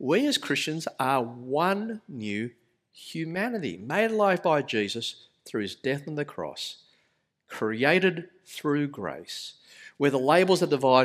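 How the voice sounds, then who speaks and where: On a very clean recording with a silent background, a man talks at a fairly slow pace. His fairly high voice makes very wide pitch swings. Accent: Australian. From Australia. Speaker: pastor. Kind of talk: sermon. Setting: church.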